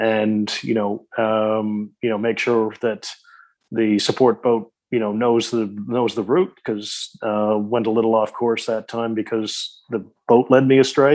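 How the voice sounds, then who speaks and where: A man with an ordinary speaking voice, medium pitch and fairly even intonation at a fairly slow pace, against a quiet background. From Newfoundland, Canada. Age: 40s. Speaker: ultramarathon swimmer and author. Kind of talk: interview.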